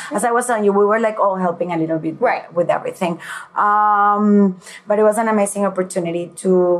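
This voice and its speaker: With a Venezuelan accent, a woman talks at a fairly quick pace in a medium pitch, her intonation fairly even. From Venezuela, Caracas. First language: Spanish. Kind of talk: interview.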